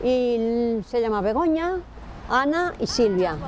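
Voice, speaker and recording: A woman with a normal speaking voice talks at a fairly high pitch. Her intonation is lively. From Aragon, Spain. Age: 60s. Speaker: interviewee in TV documentary. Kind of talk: casual interview.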